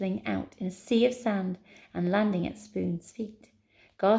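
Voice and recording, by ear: Text is read aloud here. The delivery sounds natural.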